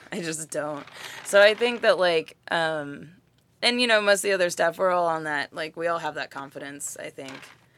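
On a very clean recording with a silent background, a woman with an American accent talks at a moderate pace. Her voice is fairly low, with ordinary pitch variation and big swings in loudness. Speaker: writer and activist. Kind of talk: casual interview chat. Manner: animated, casual, profane.

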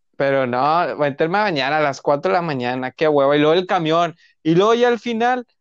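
Over a quiet background, a man speaks at a moderate pace with lively intonation. The sound is dry and close, with no echo. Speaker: podcast co-host. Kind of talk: casual chat. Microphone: sounds distorted, muffled.

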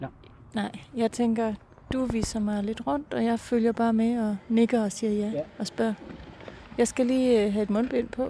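A woman's fairly high voice at a fairly slow pace, with long, frequent pauses, fairly even intonation and noticeable background noise. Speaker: podcast producer and interviewer. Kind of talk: interview and narration. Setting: outdoors on a bench.

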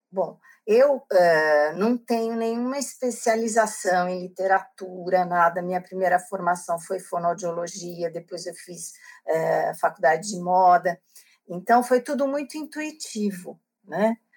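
An unremarkable speaking voice from a woman, medium in pitch, with lively intonation. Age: 60s. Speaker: book club organizer and author. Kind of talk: interview.

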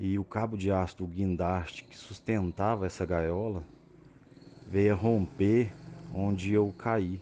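Fairly low in pitch and fairly even in intonation, a man speaks at a very slow pace with long, frequent pauses and big swings in loudness. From Brazil, Minas Gerais (Araxá). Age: 30s. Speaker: paraplegic handbike athlete. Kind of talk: interview.

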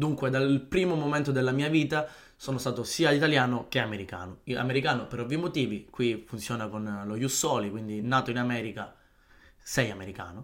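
This man has an unremarkable speaking voice at a medium pitch. He talks at a fairly quick pace with ordinary pitch variation. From Palermo, Sicily. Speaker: podcaster. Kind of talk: solo podcast monologue.

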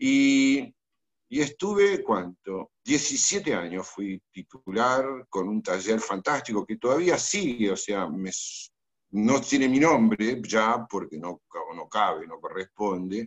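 A man with a Rioplatense accent at a very slow pace, with very wide pitch swings and big swings in loudness. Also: medium pitch for a man. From Argentina, Buenos Aires. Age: 70s. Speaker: architect. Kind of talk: interview. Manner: halting.

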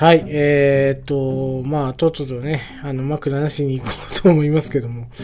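Against noticeable background noise, a man speaks at a fairly high pitch with monotone, flat intonation. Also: moderate pace. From Japan, northern Oita (Yabakei). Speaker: podcaster. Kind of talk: casual solo monologue. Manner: halting, many fillers.

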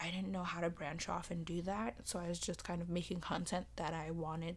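At a moderate pace, a woman speaks in a fairly low voice with vocal fry. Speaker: podcast host. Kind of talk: casual monologue. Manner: hesitant, many fillers.

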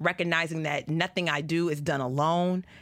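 Speaking at a fairly slow pace, a woman uses an animated tone in a fairly low pitch. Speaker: podcast and radio host. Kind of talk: casual chat. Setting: studio.

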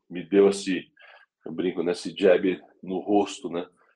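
A man speaks at a fairly slow pace in a fairly low pitch. He has an ordinary speaking voice. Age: 40s. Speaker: motorsport executive. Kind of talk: interview.

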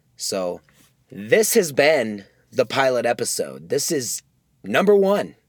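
A man's medium-pitched voice with an American accent, very wide pitch swings, a very slow pace and long, frequent pauses. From US Midwest. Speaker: podcast host. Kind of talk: casual solo monologue. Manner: rambling with many fillers.

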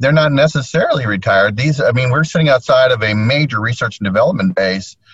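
A somewhat breathy man at a very fast pace. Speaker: realtor, association committee chair. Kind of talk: casual chat. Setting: in a parked car via laptop hotspot. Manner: animated.

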